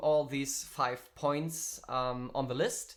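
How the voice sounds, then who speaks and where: Someone with a German accent speaks at a very slow pace. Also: man. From Germany. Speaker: musician and streaming workshop teacher. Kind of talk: online workshop tutorial. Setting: live stream. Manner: halting, many fillers.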